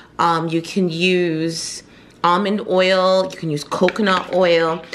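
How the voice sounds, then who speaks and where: Fairly low pitch from a woman over noticeable background noise. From Jamaica. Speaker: beauty vlogger. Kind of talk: tutorial. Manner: casual, conversational.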